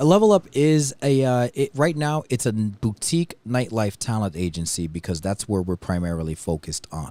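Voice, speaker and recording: Speaking at a moderate pace with hardly any pauses, the voice makes very wide pitch swings in a dry, close sound with no echo. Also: man, fairly low pitch for a man, very clean recording, silent background. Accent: American. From New York City. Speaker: DJ and talent agency co-owner. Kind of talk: casual chat. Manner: halting, many fillers and restarts.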